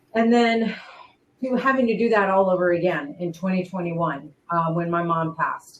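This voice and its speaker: A woman has an unremarkable speaking voice at a medium pitch. She talks at a moderate pace with ordinary pitch variation. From raised in Spain, army family, lives in United States. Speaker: former wrestling ring announcer and singer. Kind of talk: interview answer. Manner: emotional, heartfelt.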